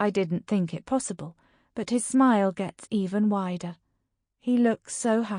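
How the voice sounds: With a quiet background, a natural reading voice carries ordinary pitch variation.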